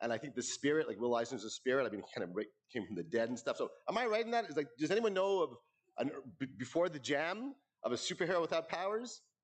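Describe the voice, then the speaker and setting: A loud man talks at a very fast pace, his fairly high pitch swinging very widely, with vocal fry. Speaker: award presenter speaking for a late friend. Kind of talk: tribute speech at awards ceremony. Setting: stage with audience. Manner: informal, halting.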